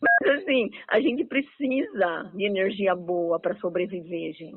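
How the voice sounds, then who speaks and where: Over noticeable background noise, a woman talks at a fairly slow pace with lively intonation and big swings in loudness. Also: medium pitch for a woman. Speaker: radio host. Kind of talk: radio interview. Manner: cheerful, animated.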